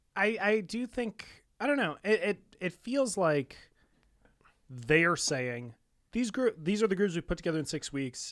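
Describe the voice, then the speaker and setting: A man speaks in a high voice with very wide pitch swings and long, frequent pauses at a moderate pace. The recording is very clean, dry and close, with a silent background and no echo. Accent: American. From Muskegon, Michigan. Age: 20s. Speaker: podcast co-host. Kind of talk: casual chat.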